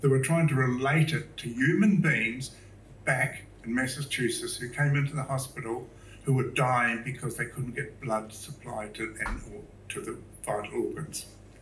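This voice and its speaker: A man talks with a New Zealand accent over audible room echo. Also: medium pitch for a man, ordinary pitch variation, moderate pace. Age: 70s. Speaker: public speaker, artist. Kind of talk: talk to a live audience. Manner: casual, hesitant with fillers.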